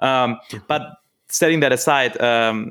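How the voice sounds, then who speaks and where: In a German accent, a man speaks at a medium pitch with fairly even intonation, the sound dry and close with no echo. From Germany. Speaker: podcast host. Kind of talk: interview.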